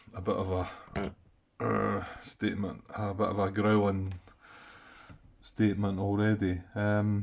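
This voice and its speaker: A man speaks quietly in a fairly low voice. His intonation is flat and monotone, broken by long, frequent pauses. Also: fairly slow pace. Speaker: board game player. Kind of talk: casual gameplay commentary. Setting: late night home recording. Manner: quiet, keeping voice down; hesitant, many fillers.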